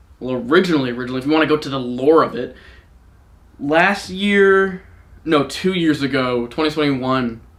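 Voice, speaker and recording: With an ordinary speaking voice, this man talks at a fairly quick pace, his fairly high pitch showing ordinary pitch variation. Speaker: streamer. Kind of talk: casual chat. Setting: home live stream. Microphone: mic somewhat far away.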